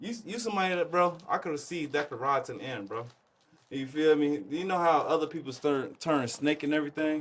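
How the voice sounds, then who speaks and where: A man speaks in a plain, everyday voice at a fairly high pitch. His pace is fairly quick, with ordinary pitch variation. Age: 20s. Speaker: clothing brand co-founder. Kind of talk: casual chat.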